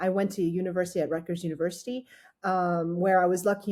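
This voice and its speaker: Speaking very fast with a French accent, a woman with a medium pitch and a dark, mellow, somewhat breathy tone comes through on a very clean recording with a silent background. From France, with childhood in Australia and teens in the US. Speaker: startup founder and engineer. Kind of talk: interview. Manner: hesitant, many fillers and restarts.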